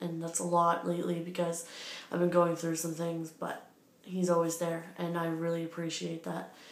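Heard with audible room echo, a woman with a fairly low voice speaks at a moderate pace. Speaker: vlogger. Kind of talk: casual vlog chat. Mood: warm, reflective. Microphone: phone near.

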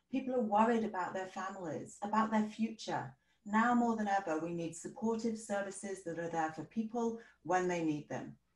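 Audible room echo surrounds a woman who speaks at a moderate pace with ordinary pitch variation against a quiet background. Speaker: political candidate; candidate. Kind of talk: debate statements. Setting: video call. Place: home room. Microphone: video call.

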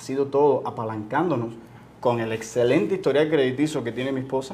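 A man talks at a very fast pace. His medium-pitched voice keeps fairly even intonation. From Cuba. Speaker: entrepreneur, business owner. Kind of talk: interview.

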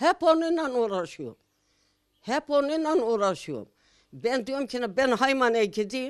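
A woman speaks at a very slow pace with a high pitch. Her pitch swings very widely. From Turkey, Ankara province (Haymana). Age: 80s+. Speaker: village elder. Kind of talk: interview answer. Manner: emotional.

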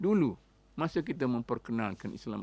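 A man speaks at a moderate pace with very wide pitch swings, his voice dry with no echo. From Kelantan, Malaysia; Malaysia. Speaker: Islamic scholar, professor; professor. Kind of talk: radio interview talk. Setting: radio studio. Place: studio. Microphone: studio mic.

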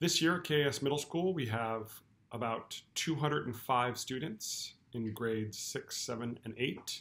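With ordinary variation in pitch, the man speaks very slowly. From California. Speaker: school principal. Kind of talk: welcome address to parents. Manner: formal. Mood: warm, welcoming.

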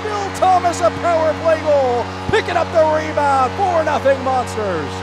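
With music in the background, a man speaks in an energetic tone. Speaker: hockey play-by-play announcer. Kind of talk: live sports play-by-play commentary. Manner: fast, energetic.

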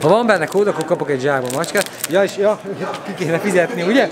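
A man's high-pitched voice amid clear background noise, with clear crowd noise behind it.

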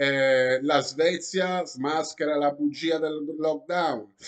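This man's voice sits fairly high in pitch. The background is quiet. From Italy. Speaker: YouTuber. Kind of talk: vlog commentary reading news articles. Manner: animated.

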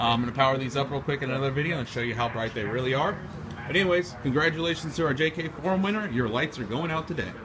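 Over noticeable background noise, a man speaks at a very fast pace with ordinary pitch variation. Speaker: shop salesperson. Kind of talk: product demo commentary. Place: shop. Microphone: phone near.

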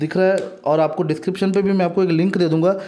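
Amid noticeable background noise, a man speaks with ordinary pitch variation. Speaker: gaming YouTuber. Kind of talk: casual video monologue.

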